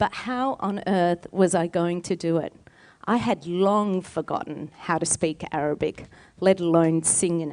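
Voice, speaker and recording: A woman with an Australian accent speaks at a fairly slow pace against a quiet background, her fairly low pitch showing ordinary variation. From Australia, Palestinian heritage. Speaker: singer and storyteller. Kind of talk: storytelling performance.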